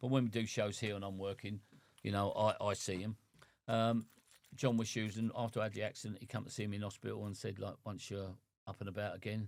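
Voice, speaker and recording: With an English accent, the speaker talks at a fairly quick pace in a monotone, flat intonation. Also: man. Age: 60s. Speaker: boxing cut man. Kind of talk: casual chat.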